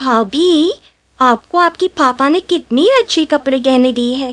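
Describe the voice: This cartoonish character voice sounds female, pitched high for a woman and delivered at a fairly slow pace.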